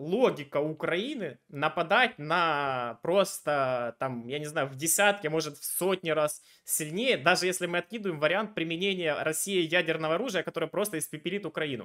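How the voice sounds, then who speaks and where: A man's high-pitched, bright and sharp voice with ordinary pitch variation, moderate pace and a quiet background. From Ukraine, Dnipro; Ukraine. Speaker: video chat debater and channel host; video chat debater, channel host. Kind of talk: argumentative debate with a stranger. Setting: random video chat. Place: home room. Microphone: headset.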